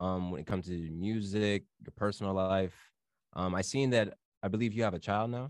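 At a moderate pace and with ordinary pitch variation, a normal speaking voice comes through against a quiet background. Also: man, fairly low pitch for a man. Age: 20s. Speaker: podcast host. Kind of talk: casual chat.

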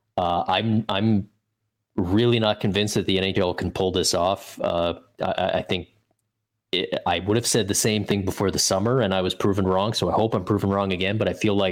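A man with a fairly low pitch talks at a fairly quick pace in a flat monotone, in a very clean recording with a silent background. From Canada. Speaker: hockey writer. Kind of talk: casual interview chat.

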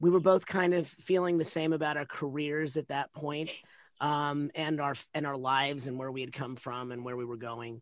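Over a quiet background, a man with a plain, everyday voice speaks at a moderate pace with fairly even intonation. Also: fairly high pitch for a man. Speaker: actor. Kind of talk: casual chat.

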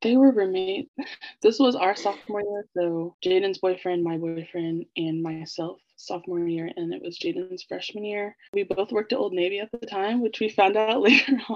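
An ordinary speaking voice with an American accent. The pitch varies in an ordinary way. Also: woman, medium pitch for a woman, moderate pace. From Kansas City, US Midwest. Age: 20s. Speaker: marketing coordinator. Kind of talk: casual chat.

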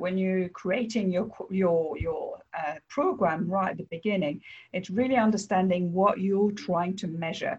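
Somewhat breathy and in a French accent, the voice moves at a moderate pace with ordinary pitch variation. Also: woman. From France. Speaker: mystery shopping business owner and author. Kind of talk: interview.

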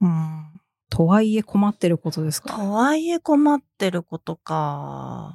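A woman talks at a fairly slow pace, the sound dry and close with no echo. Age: 30s. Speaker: podcast host and editor. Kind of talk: casual chat. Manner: low-key.

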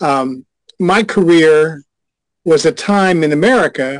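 A man with an unremarkable speaking voice and a fairly high pitch, dry and close with no echo, against a quiet background. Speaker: former adult industry insider. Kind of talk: casual chat. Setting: video call.

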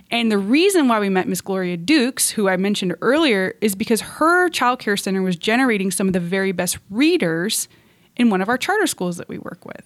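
A woman's unremarkable speaking voice at medium pitch, lively intonation and a fairly quick pace, on a very clean recording with a silent background. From moved often; US-born, raised partly in Russia. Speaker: nonprofit executive director. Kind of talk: interview.

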